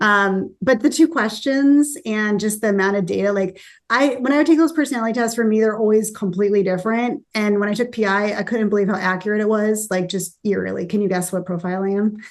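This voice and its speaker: The speech moves at a very fast pace with hardly any pauses and ordinary pitch variation over a quiet background. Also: woman, fairly high pitch for a woman. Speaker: company founder and CEO. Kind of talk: casual interview chat.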